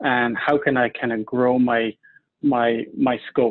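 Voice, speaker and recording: This man has an Irish accent. His intonation is monotone and flat. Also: quiet background. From Ireland. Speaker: medical device regulatory specialist. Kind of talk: interview. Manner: halting. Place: home room. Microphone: video call.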